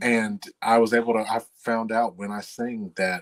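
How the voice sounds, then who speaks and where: Recorded with a dry, close sound and no echo, a man speaks in a Tennessee accent. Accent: deep Southern, Tennessee. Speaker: singer and voice performer; interviewee.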